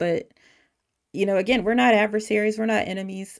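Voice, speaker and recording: A woman with an American accent. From US South, North Carolina. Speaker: livestream call-in show host. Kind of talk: casual livestream monologue. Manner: animated, many fillers and restarts.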